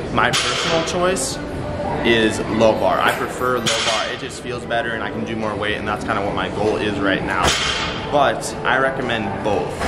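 Loud background noise sits under a man speaking at a moderate pace with ordinary pitch variation. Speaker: fitness vlogger. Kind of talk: tutorial. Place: gym.

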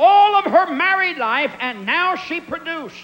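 Pitched extremely high, a man's voice swings very widely in pitch. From Pennsylvania. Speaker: evangelist preacher. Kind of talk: sermon. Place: church. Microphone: handheld.

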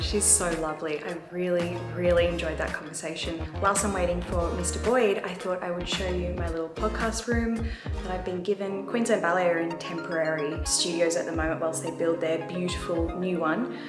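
A woman talks with hardly any pauses. Clear music plays behind her. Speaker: podcast host, vlogger. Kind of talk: casual vlog chat. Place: meeting room. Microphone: phone near.

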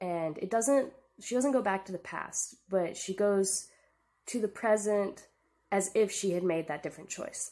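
The tone is dark and mellow, with ordinary pitch variation. The pace is fairly slow. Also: woman. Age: 20s. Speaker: book vlogger. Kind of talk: casual book review monologue. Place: home room. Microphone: poor audio quality; webcam.

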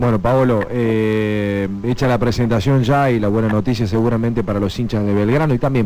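This is an unremarkable speaking voice from a man, fairly low in pitch with ordinary pitch variation. He talks at a fairly quick pace over light background noise. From Argentina. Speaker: sports radio host. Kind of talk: radio sports talk. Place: studio. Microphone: studio mic.

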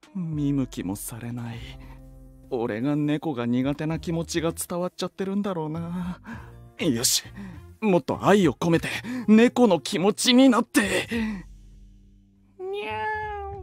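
A man does a put-on character voice with a high pitch, at a fairly slow pace with long, frequent pauses. Faint music sits in the background. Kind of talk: comedic voice drama. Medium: audio drama.

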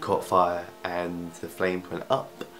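A man's very deep, low voice at a fairly slow pace, with faint music in the background. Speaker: vlogger. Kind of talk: casual vlog chat. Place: home room. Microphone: phone near.

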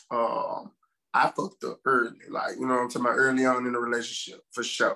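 A man is heard. His delivery runs at a fairly quick clip. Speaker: podcast co-host. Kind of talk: casual podcast discussion. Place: home room. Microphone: video call.

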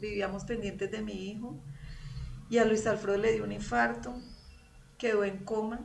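Light background noise runs beneath a woman talking at a moderate pace, her pitch varying in an ordinary way. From Colombia, Girardot (Cundinamarca); Colombia. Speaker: churchgoer giving testimony; guest. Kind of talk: testimony. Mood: emotional, recounting hardship. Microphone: video call.

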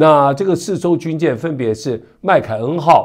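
A man speaks with vocal fry and very wide pitch swings. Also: quiet background. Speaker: news commentator. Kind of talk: news commentary. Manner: conversational with many filler particles.

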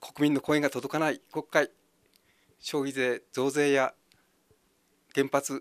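Against a quiet background, a man with a fairly high voice talks at a fairly slow pace with monotone, flat intonation. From Ibaraki, Japan (Hitachiota); Ibaraki. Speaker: election candidate. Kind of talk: campaign speech. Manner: halting. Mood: friendly, smiling, earnest. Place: empty room. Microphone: handheld.

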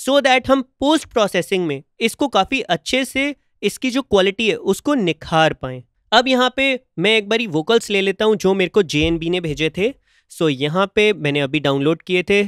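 A high-pitched man talks at a moderate pace with very wide pitch swings, the sound dry with no echo over a quiet background. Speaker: music producer and YouTuber; music production YouTuber. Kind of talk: tutorial. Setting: home studio.

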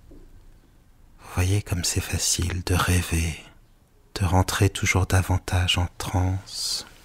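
Very slow and soothing in tone, a man speaks with a very deep, low pitch, a somewhat breathy voice and monotone, flat intonation. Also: big swings in loudness, dry, close sound with no echo. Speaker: hypnotherapist. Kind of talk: guided hypnosis with story reading. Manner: slow, soothing; occasional stumbling.

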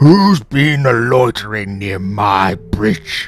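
A man speaks in a rumbling, put-on character voice. His pace is very slow. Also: fairly low pitch for a man. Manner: grumbling, menacing.

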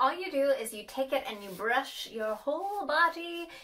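The speech moves at a moderate pace. Its pitch rises and falls very widely. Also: woman. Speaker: lifestyle vlogger. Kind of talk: casual product review chat. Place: bathroom. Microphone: phone near.

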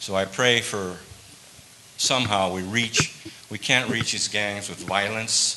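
Over noticeable background noise, a man with an American accent talks at a fairly slow pace in a fairly low voice. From Tucson, Arizona (south side barrios); Arizona. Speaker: biker ministry member; guest. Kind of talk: testimony. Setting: church service. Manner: halting. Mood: earnest personal story. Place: church.

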